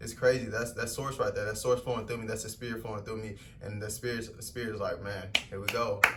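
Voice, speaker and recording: Over noticeable background noise and audible room echo, a man speaks very fast at a medium pitch. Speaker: spiritual vlogger. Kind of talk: motivational talk. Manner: animated.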